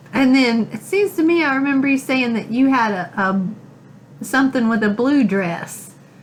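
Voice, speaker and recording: Over noticeable background noise, a woman speaks in a high pitch with lively intonation at a moderate pace, hardly pausing at all. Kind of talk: interviewer questions.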